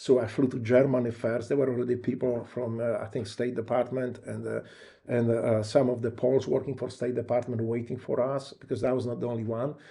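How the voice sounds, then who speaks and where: A man's fairly quick, somewhat breathy delivery in a Polish accent, medium in pitch, monotone and flat, with a dark, mellow tone. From Poland. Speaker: war veteran. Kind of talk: interview. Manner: halting.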